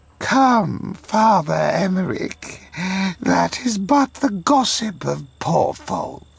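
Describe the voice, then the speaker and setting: A man's put-on character voice, high in pitch, at a very slow pace. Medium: video game. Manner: dismissive, condescending.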